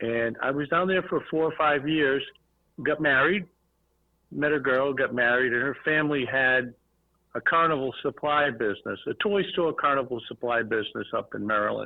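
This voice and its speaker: A man with a Boston accent, fairly high in pitch, at a moderate pace and with ordinary pitch variation. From Boston area, Massachusetts. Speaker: toy and redemption industry businessman. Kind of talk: podcast interview.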